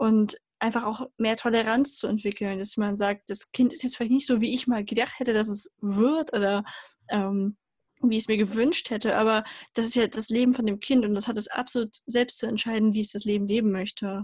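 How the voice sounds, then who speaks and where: Speaking at a fairly quick pace, a woman has a somewhat breathy, fairly high voice with fairly even intonation and a dry, close sound with no echo. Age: 20s. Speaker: mechanical engineer and self-love advocate. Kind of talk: interview.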